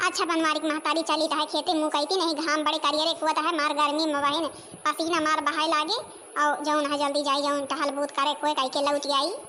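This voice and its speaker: A cartoonish character voice moves at a fairly quick pace. Clear background noise sits behind it. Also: woman. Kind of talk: rustic comic dialect cartoon.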